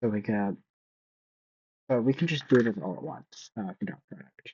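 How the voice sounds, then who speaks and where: Mumbling at a moderate pace, a man shows very wide pitch swings and big swings in loudness. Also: medium pitch for a man. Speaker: student. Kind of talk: tutorial. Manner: halting.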